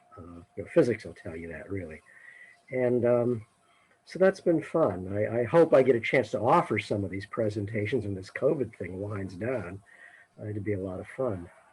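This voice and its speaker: Somewhat breathy and fairly low in pitch, a man speaks at a moderate pace with lively intonation and big swings in loudness. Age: 60s. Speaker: retired science educator. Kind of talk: casual chat. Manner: halting.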